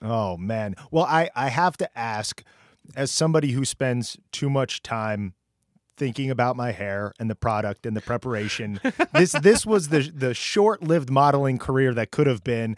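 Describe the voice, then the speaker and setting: With an American accent, a man uses a normal speaking voice at medium pitch, moderate pace and lively intonation, recorded with a dry, close sound and no echo. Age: 40s. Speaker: podcast co-host. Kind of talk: casual interview. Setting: video call.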